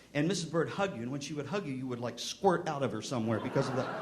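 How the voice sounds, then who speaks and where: A man's voice with audible room echo. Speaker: music education clinician. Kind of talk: keynote speech. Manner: animated; halting, stops mid-sentence.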